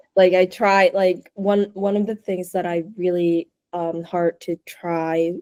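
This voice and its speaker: A woman speaks very slowly in a fairly low, dark and mellow voice with monotone, flat intonation. The sound is dry and close, with no echo. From Osaka, Japan. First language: Japanese. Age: 20s. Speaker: interview guest. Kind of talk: casual interview. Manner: code-switching between English and Japanese.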